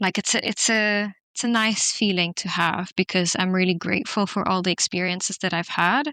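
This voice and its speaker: A woman with a non-native accent speaks in a bright, sharp tone with fairly even intonation and hardly any pauses. The sound is dry and close with no echo, over a quiet background. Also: medium pitch for a woman, moderate pace. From non-English-speaking country, schooled in Switzerland from age 11. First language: not English. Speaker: podcast guest. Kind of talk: casual interview conversation. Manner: hesitant, many fillers.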